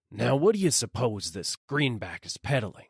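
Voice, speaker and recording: A man puts on a raspy character voice at a medium pitch. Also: moderate pace. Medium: read story. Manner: slow, gruff, bossy.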